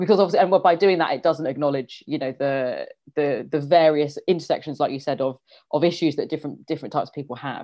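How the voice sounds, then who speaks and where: Delivered at a very fast pace in a London accent, the speech has ordinary pitch variation. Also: woman. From London, England. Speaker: history teacher. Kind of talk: interview.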